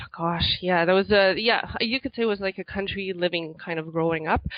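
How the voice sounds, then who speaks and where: A woman with a slight non-native accent speaks at a moderate pace in a fairly low pitch. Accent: slight foreign accent in English. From Quebec, Montreal area. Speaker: author. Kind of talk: interview.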